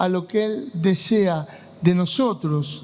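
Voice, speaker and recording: Noticeable background noise runs under speech with ordinary pitch variation. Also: man. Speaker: pastor. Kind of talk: sermon.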